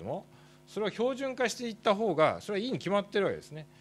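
A man races along at a very fast pace, his intonation lively. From Japan. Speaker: doctor and professor; professor. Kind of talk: conference presentation. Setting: workshop stage with audience. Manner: formal; halting with fillers. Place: hall. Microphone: podium.

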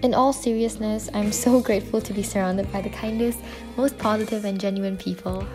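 A woman rushes through her words at a very fast pace while music plays in the background. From Malaysia. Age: 20s. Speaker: university student. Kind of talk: vlog voiceover narration.

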